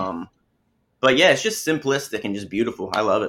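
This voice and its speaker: On a very clean recording with a silent background, a man with a bright, sharp tone speaks at medium pitch with ordinary pitch variation. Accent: Southern US. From US South, small-town Alabama. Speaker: film composer. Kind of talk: interview.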